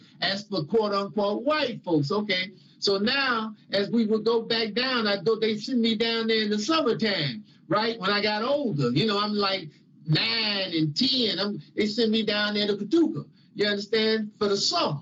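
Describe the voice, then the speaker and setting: Through noticeable background noise, a man speaks at a high pitch and a moderate pace, with ordinary pitch variation and very even loudness. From Chicago, US Midwest. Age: 60s. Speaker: religious teacher. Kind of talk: testimony. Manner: conversational.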